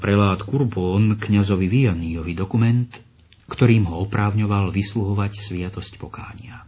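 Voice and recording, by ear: The clip consists of reading aloud in a natural voice.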